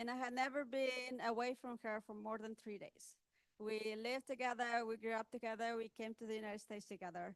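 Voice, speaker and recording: This woman has a high-pitched voice and a non-native accent. The sound is dry and close, with no echo. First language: not English. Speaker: author and technology speaker. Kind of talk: panel talk at book launch. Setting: event with audience. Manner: halting.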